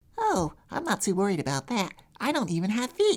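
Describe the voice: A female-sounding voice, medium in pitch, performs a put-on character voice. The pace is fairly quick.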